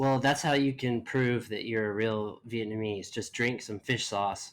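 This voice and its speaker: This man has an unremarkable speaking voice with an American accent and a medium pitch. He speaks at a fairly slow pace with fairly even intonation. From US South. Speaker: podcast host. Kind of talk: podcast interview.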